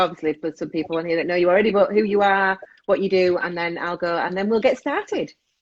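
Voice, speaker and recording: A woman speaks with an English accent. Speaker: parenting coach and show host. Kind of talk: casual chat. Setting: live video stream.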